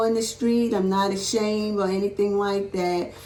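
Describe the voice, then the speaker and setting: Over noticeable background noise and audible room echo, a woman speaks at a fairly high pitch. Her intonation stays fairly even at a moderate pace. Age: 70s. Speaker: church member interviewed about her life. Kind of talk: casual interview.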